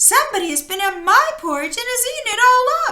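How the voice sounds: A woman in a put-on character voice speaks at a fairly quick pace with an extremely high pitch.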